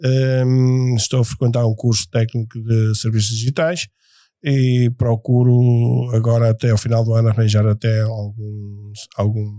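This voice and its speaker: A man's medium-pitched, dark, mellow voice with fairly even intonation in a very clean recording with a silent background. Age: 60s. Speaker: firefighter. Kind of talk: casual interview.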